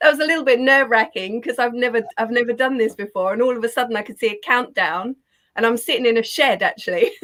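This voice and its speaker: Speaking at a very fast pace, a woman talks in a high voice. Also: ordinary pitch variation. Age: 50s. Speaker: positive psychologist, co-author. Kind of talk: interview. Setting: video call from a garden shed.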